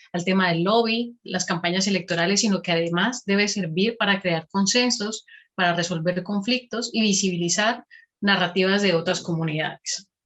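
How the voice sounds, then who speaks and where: An ordinary speaking voice from a woman, medium in pitch, with fairly even intonation, a moderate pace and very even loudness. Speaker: academic researcher, presenter. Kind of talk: conference presentation.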